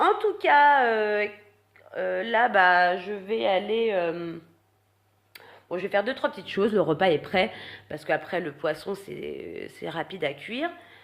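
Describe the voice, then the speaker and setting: At a medium pitch, a woman uses lively intonation and big swings in loudness, speaking fairly slowly with long, frequent pauses. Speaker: vlogger. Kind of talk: casual vlog talk. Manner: halting, many fillers.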